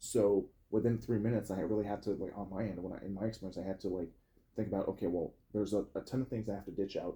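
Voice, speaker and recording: A man at a very fast pace and fairly low pitch, somewhat breathy, with a dark, mellow tone and monotone, flat intonation. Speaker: podcast host. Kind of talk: casual chat.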